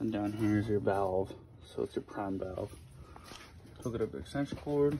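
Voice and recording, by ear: In a room with audible echo, a man speaks at a moderate pace with fairly low pitch, ordinary pitch variation, vocal fry and a dark, mellow tone.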